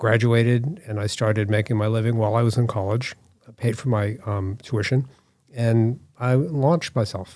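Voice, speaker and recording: A man in an American accent with a normal speaking voice, medium pitch, fairly even intonation and a moderate pace. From US Northeast, Boston area (Newton, Massachusetts). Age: 60s. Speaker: artist and designer. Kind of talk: interview.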